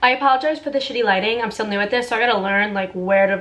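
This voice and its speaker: A woman with an American accent, fairly high pitch and an animated tone, at a very fast pace with ordinary pitch variation, amid noticeable background noise. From New York City, Staten Island. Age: 20s. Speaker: lifestyle vlogger. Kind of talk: casual vlog chat.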